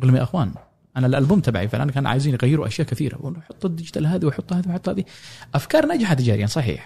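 Speaking very fast, a man uses a fairly high pitch and lively intonation. His tone is dark and mellow, and somewhat breathy. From Yemen, Sanaa. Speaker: oud player and musician. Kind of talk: casual interview.

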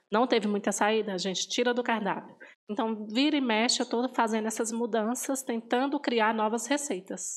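A woman's plain, everyday voice, fairly high in pitch, at a moderate pace with fairly even intonation and very even loudness. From northern Minas Gerais, Brazil. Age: 30s. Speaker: pastry shop owner. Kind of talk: interview testimony.

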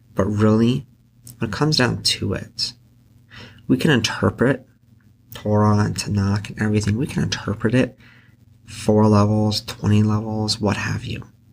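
This man has a Pacific Northwest accent and a fairly low pitch, speaking at a moderate pace with fairly even intonation. He leaves long, frequent pauses, and the recording is very clean with a silent background. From Central Oregon, US. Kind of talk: solo podcast reflection on scripture.

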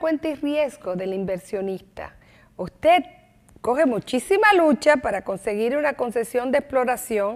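Her pitch is high, and it moves in very wide swings. The woman speaks at a fairly slow pace. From Dominican Republic, Santo Domingo. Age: 50s. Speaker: lawyer and former deputy minister. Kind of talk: TV interview.

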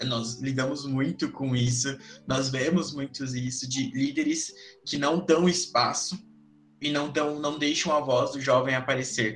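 Music plays in the background as a man with a fairly high pitch speaks at a fairly slow pace. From São Paulo, Brazil. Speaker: youth gaucho tradition representative and podcast host. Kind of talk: casual panel discussion.

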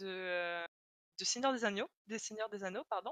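A woman's medium-pitched voice, bright and sharp in tone with ordinary pitch variation, comes across dry and close with no echo. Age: 20s. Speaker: illustration student and role-player. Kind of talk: casual interview chat.

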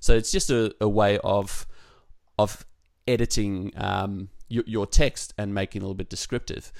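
The speaker has an Australian accent and a moderate pace. The intonation is monotone and flat, while the loudness swings widely. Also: man, fairly low pitch for a man. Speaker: podcast co-host, web developer. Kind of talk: casual chat. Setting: remote call.

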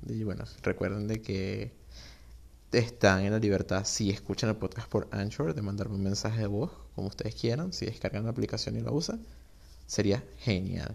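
On a very clean recording with a silent background, a man with fairly low pitch and vocal fry talks at a moderate pace with ordinary pitch variation. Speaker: podcast host. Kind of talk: casual solo monologue. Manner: informal, unstructured.

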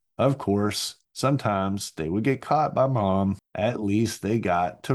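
On a very clean recording with a silent background, a man speaks at fairly low pitch. His pace is fairly slow, with ordinary pitch variation. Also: hardly any pauses. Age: 40s. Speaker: podcast host. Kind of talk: solo monologue. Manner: hesitant, many fillers.

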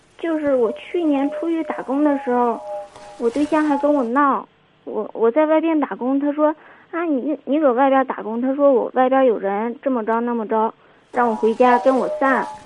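Over music in the background, a woman speaks at a moderate pace in a high pitch with ordinary pitch variation. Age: 20s. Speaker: caller. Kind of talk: call-in advice conversation.

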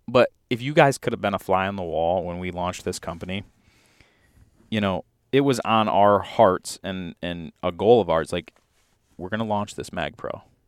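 A man with an American accent talks at a moderate pace in an unremarkable speaking voice, fairly low in pitch with ordinary pitch variation. The recording is very clean, with a silent background. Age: 20s. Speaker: hunting podcast co-host. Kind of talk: casual chat.

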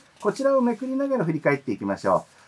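The pitch swings very widely. Background noise is noticeable. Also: man. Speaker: podcast host. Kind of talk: scripted show narration; casual chat. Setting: studio.

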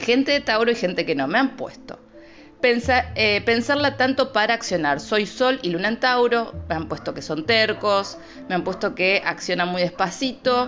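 With a Rosario accent, a woman speaks at a moderate pace in a fairly high voice with lively intonation over noticeable background noise. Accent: Argentine Spanish, Rosario. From Argentina, Rosario. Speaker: astrologer, podcast host. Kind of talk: casual solo podcast. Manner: improvised, informal.

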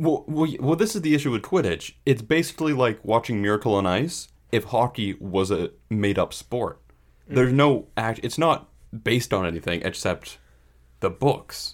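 Speaking at a moderate pace with lively intonation, a man has an ordinary speaking voice at medium pitch, recorded very cleanly against a silent background. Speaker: podcast co-host. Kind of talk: casual chat about baseball. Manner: laid-back, joking.

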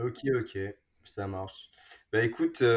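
A man speaks at a fairly low pitch in a somewhat breathy voice with fairly even intonation. The recording is very clean, with a silent background. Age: 20s. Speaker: pharmacy student. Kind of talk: casual chat. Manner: halting, many repetitions.

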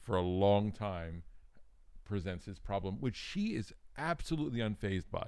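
A fairly low male voice at a fairly slow pace with ordinary pitch variation. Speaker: podcast host. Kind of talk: casual chat, movie review podcast. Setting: studio, good microphones.

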